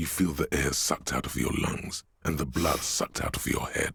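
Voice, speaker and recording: A man's growling, put-on character voice at a very deep, low pitch, delivered at a moderate pace. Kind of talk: literary game narration. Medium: game stream.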